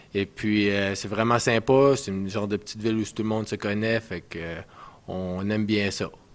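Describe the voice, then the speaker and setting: On a very clean recording with a silent background, an ordinary speaking voice keeps a moderate pace and fairly even intonation. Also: man, fairly low pitch for a man. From Canada, northwestern New Brunswick, Edmundston area. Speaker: ice hockey player. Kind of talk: casual interview.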